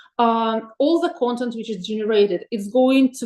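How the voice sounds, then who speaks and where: With a Russian accent, a woman is talking. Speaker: webinar presenter on AI tools for teachers. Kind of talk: webinar presentation. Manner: hesitant, many filler sounds.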